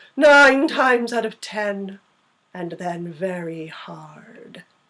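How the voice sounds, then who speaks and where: Delivery comes at a very slow pace. It is a put-on character voice. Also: woman, medium pitch for a woman. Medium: read story. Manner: dry, curt.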